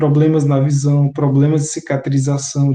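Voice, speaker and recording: In a Bahian accent, a man with a fairly high pitch speaks in a dark, mellow tone that is somewhat breathy, his intonation monotone and flat. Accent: Bahian Brazilian Portuguese, noticeable. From Bahia interior, Brazil. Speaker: teacher. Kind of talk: lecture.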